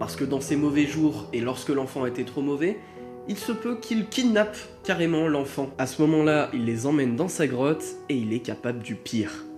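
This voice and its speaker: Moderate pace with music in the background. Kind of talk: folklore and legend narration for video. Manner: casual, joking asides.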